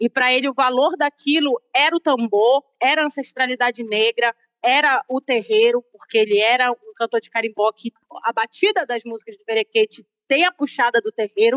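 Loudness swings widely throughout. The pace is moderate, and the pitch varies in an ordinary way. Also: woman, high pitch for a woman. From Belém, Pará, Brazil. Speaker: carimbó dancer. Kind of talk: interview monologue.

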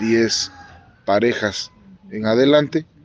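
His pitch varies in an ordinary way. The man's voice sits at a medium pitch. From Mexico, Mixteca region of Puebla. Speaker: teacher and dance tradition expert. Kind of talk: interview testimony. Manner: halting, with fillers.

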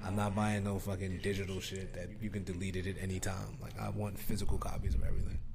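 Over noticeable background noise, a man with an American accent and a very deep, low pitch talks at a very fast pace with fairly even intonation. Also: hardly any pauses. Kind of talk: casual chat.

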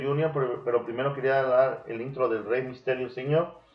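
Over noticeable background noise, a man talks at a fairly quick pace with fairly high pitch and fairly even intonation. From Mexico. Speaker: podcast host. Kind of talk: casual chat; storytelling about wrestling history.

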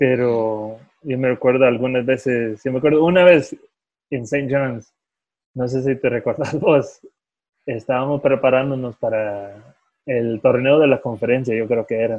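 At a fairly slow pace, a plain, everyday voice delivers its words with fairly even intonation. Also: man, medium pitch for a man. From California, US, Salvadoran-Guatemalan parents. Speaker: professional football goalkeeper. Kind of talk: casual interview. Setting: phone call.

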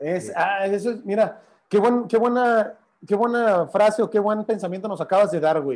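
Moderate pace with ordinary pitch variation. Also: man, high pitch for a man. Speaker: live stream host. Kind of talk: casual interview on a Facebook Live. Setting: Facebook Live video call.

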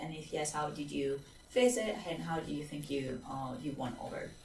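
In a room with audible echo, a woman speaks at a moderate pace in a low pitch with vocal fry, a slightly mellow tone and lively intonation.

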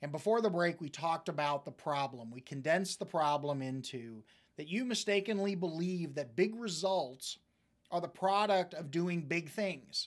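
A man with an American accent speaks at a moderate pace in a high voice with lively intonation. The recording is very clean, with a silent background. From US Midwest, central Missouri. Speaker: life coach and radio host. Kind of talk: motivational talk.

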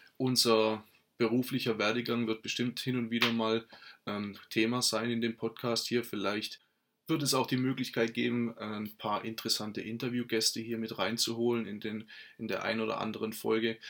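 A man at medium pitch and moderate pace, with monotone, flat intonation. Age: 30s. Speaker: podcast host, network marketer. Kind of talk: solo podcast monologue. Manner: halting, many fillers and restarts.

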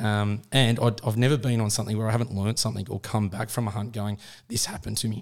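Very fast and monotone, with flat intonation, a man speaks in a fairly low voice with an Australian accent. The recording is very clean, with a silent background. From Australia, Sydney. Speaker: hunting podcast co-host. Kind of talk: casual chat.

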